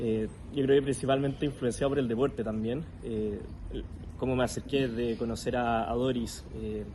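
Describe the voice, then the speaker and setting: This man talks at a moderate pace with a dark, mellow tone, a medium pitch and fairly even intonation. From Chile. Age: 20s. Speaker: para-athlete and psychologist. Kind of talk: interview.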